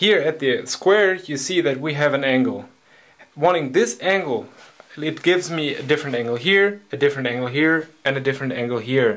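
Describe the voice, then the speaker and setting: Someone with a non-native accent speaks with ordinary pitch variation over noticeable background noise. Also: man, fairly high pitch for a man. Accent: foreign. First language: not English. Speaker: hobby woodworker. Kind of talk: tutorial.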